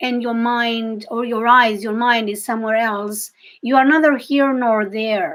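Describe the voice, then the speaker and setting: Her voice is high for a woman, spoken in a Greek accent. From Greece. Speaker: psychic reader and intuitive coach. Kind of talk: live-stream reading for viewers. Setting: live video stream. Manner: halting, with self-corrections.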